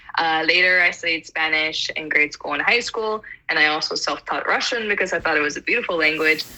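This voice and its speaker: Over noticeable background noise, a woman with an American accent speaks at a fairly low pitch with ordinary pitch variation. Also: fairly quick pace. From US South (Atlanta, Georgia). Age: 20s. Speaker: polyglot. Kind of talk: casual chat.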